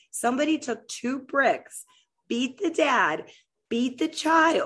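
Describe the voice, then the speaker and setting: The pace is fairly slow as a woman talks with an American accent. Little else can be heard, as the background stays quiet. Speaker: podcast host; military veteran. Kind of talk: solo monologue on news. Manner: halting, many fillers.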